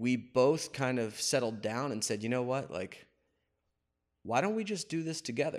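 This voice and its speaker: An unremarkable speaking voice with an American accent. The intonation is lively and the pace moderate. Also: man, medium pitch for a man. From northeastern Pennsylvania (Wilkes-Barre). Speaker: barbershop owner. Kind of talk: casual interview. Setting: barbershop.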